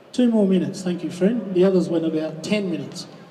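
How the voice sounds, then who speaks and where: Amid noticeable background noise and audible room echo, a high-pitched man with an Australian accent talks at a fairly quick pace with fairly even intonation. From Western Australia (Kalgoorlie, Goldfields). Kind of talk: rally speech. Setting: outdoors at a public rally.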